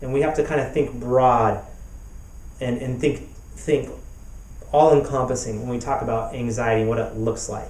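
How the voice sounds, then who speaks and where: With ordinary pitch variation and a medium pitch, a man talks amid audible room echo and noticeable background noise. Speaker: therapist and author. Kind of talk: recorded talk. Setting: web summit video. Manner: halting, repeats words.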